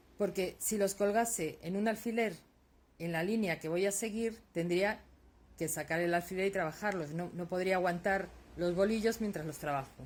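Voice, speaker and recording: Pitch variation is ordinary and the pace fairly slow. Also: woman. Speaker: lace-making teacher. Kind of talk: tutorial. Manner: soft-spoken, tends to speak quietly; halting, many fillers.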